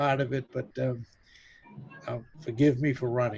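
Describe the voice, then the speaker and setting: A man speaks at a moderate pace. Background music plays behind his voice. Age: 70s. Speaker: business webinar presenter. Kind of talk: webinar Q&A.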